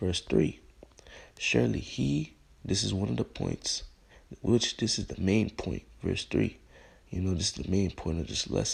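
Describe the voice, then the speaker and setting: This man has a very deep, low voice with vocal fry. His pitch swings very widely while he keeps a moderate pace. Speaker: religious teacher. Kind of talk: bible lesson. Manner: subdued, keeping voice down.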